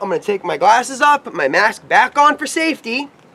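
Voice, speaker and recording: The voice is raised and projected, with very wide pitch swings at a moderate pace. Noticeable background noise runs underneath. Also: man. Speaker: paintball equipment reviewer. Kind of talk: tutorial. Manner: loud.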